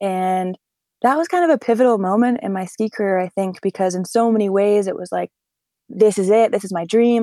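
A woman with an American accent has a normal speaking voice and ordinary pitch variation. She talks at a fairly quick pace, and the sound is dry and close with no echo. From US Northeast, northern New Hampshire. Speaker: professional skier and paraglider. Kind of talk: interview conversation.

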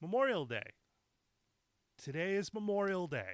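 A man speaks in an angry tone with an American accent. The sound is dry and close, with no echo. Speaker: podcast host. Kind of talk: solo rant. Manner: angry, profane.

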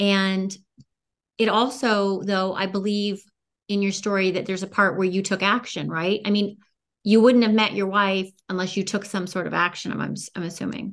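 Against a quiet background, a woman of medium pitch talks at a moderate pace in a flat monotone. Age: 50s. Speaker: podcast host. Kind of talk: interview.

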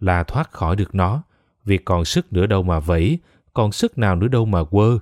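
A man speaks in a normal speaking voice with lively intonation at a fairly slow pace. The very clean recording is dry and close with no echo, with a silent background. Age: 20s. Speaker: podcast narrator. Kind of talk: scripted narration.

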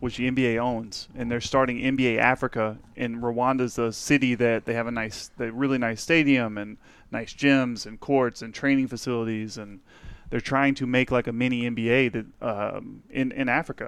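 A man's plain, everyday voice at medium pitch, fairly even intonation and moderate pace, with a quiet background. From Texas. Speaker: guest, powerlifter. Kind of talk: casual banter podcast.

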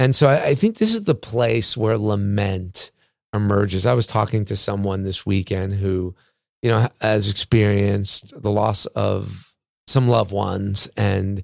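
This man's normal speaking voice sits fairly low and moves at a fairly slow pace with fairly even intonation, the sound dry and close with no echo and the recording very clean against a silent background. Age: 50s. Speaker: pastor. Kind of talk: casual chat.

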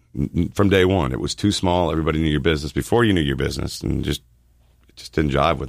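A man with an American accent talks at a very fast pace, with a very deep, low pitch and vocal fry. His loudness swings widely. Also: ordinary pitch variation. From Miami, Florida. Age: 40s. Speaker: insurance agent. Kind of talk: radio interview. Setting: radio studio.

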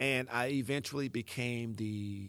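On a very clean recording with a silent background, a man speaks with a Southern US accent and ordinary pitch variation. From US South, Mississippi Delta. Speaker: motivational speaker. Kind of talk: motivational monologue.

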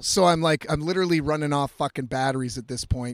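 A loud man is captured in a very clean recording with a silent background and a dry, close sound with no echo. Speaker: podcast host and musician. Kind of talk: casual monologue. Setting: in a camper van by the road.

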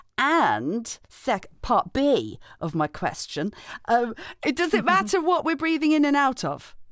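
Playful in tone, a woman with a high voice speaks at a very slow pace, her pitch swinging very widely. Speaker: podcast co-host. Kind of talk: casual chat. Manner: playful, laughing.

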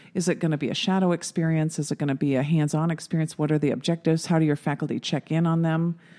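A woman speaks at a very fast pace with hardly any pauses, her very deep, low pitch paired with a dark, mellow tone. Her intonation is monotone and flat, loudness stays very even, and the recording is very clean with a silent background. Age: 50s. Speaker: nurse practitioner. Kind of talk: casual chat.

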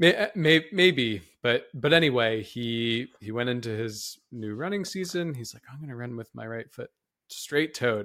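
On a very clean recording with a silent background, a man speaks at medium pitch with a bright, sharp tone and lively intonation. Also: moderate pace. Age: 30s. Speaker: exercise science professor and podcast co-host. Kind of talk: casual educational podcast discussion.

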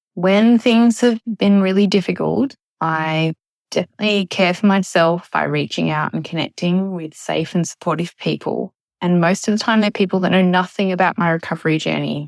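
A plain, everyday voice from a woman at fairly low pitch, moderate pace and ordinary pitch variation, dry and close with no echo, on a very clean recording with a silent background. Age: 40s. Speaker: eating disorder recovery community member. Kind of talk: recorded testimony.

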